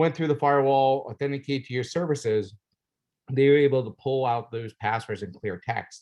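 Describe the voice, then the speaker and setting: A man speaks fairly quickly, his pitch moving up and down in an ordinary way. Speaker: red team lead at cybersecurity competition. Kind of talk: presentation debrief. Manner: fast.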